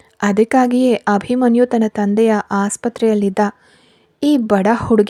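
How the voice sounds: Fairly even intonation in a natural reading voice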